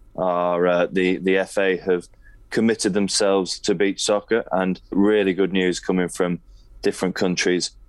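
Very deep, low pitch from a man, with monotone, flat intonation. The recording is very clean, with a silent background. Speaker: press officer. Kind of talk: casual podcast chat.

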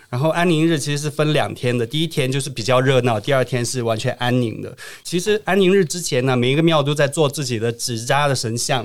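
A plain, everyday voice runs at a fairly quick pace with hardly any pauses and ordinary pitch variation. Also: man, medium pitch for a man. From Qingdao, Shandong, China. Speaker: travel influencer. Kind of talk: casual interview.

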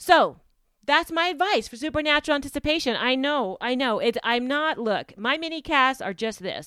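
Her tone is bright and sharp, with very wide pitch swings. The woman talks at a moderate pace. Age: 50s. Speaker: podcast host and executive assistant. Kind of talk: solo podcast monologue. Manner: casual, chatty with frequent fillers and self-corrections.

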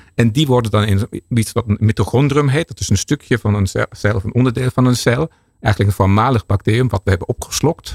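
A man speaks at a fairly quick pace in a medium pitch, somewhat breathy, with ordinary pitch variation. The sound is dry and close, with no echo. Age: 50s. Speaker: research scientist. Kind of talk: expert interview. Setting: studio.

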